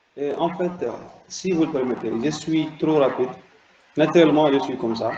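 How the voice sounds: Against noticeable background noise, the talking proceeds at a moderate pace with ordinary pitch variation. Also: man, fairly high pitch for a man. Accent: Mauritanian.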